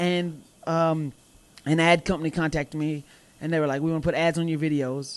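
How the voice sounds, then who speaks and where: Speaking with a slight Southern US accent, a man with a fairly high pitch keeps a monotone, flat intonation. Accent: slight Southern twang. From US South, Mobile, Alabama. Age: 20s. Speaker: professional wrestler. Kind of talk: casual chat. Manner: loud.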